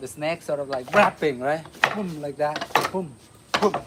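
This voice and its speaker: A man with a Vietnamese accent talks over noticeable background noise. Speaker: martial arts instructor. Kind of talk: live-stream martial arts class. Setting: outdoors. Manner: animated.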